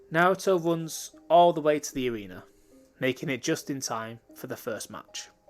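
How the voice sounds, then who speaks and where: With music in the background, a man with a fairly high pitch talks at a moderate pace, using lively intonation and big swings in loudness. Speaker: fan fiction narrator. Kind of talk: casual outro to viewers; reading aloud a fan story.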